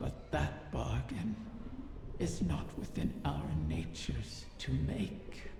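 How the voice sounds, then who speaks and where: A put-on character voice, very deep and low, drags along at a very slow pace. Clear background noise and a clear echo surround it. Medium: machinima. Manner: silky, languid, insinuating.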